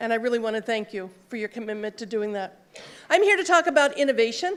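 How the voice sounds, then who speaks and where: A loud woman at a very fast pace with lively intonation, on a very clean recording with a silent background. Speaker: conference speaker, social worker in health IT. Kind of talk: conference talk. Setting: stage with audience and mic. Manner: loud, projecting.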